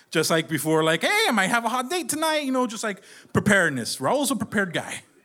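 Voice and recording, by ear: Noticeable background noise under a man's speech, his pitch swinging very widely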